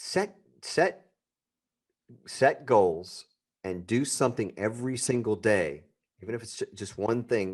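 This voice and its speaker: A man talks at a fairly slow pace. His medium-pitched voice has vocal fry. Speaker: entrepreneur and podcast host. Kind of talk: interview. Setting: podcast interview.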